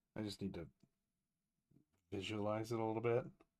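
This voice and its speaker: Quietly mumbling, a man speaks in a fairly low voice with fairly even intonation. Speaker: comic book artist and colorist; comic artist. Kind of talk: live-stream tutorial while drawing. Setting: live stream. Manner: quiet, mumbling. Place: home room.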